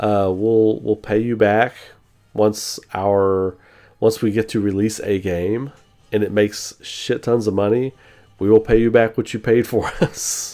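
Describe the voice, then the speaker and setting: Music plays in the background as a man speaks at a fairly slow pace. His pitch is fairly low and his intonation fairly even. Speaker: gaming streamer. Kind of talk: casual chat. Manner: casual, halting with repeated words.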